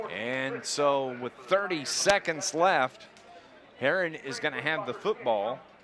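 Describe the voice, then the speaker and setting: Over noticeable background noise, a man with a fairly high pitch speaks at a very slow pace with very wide pitch swings. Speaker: play-by-play radio announcer. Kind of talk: live sports commentary.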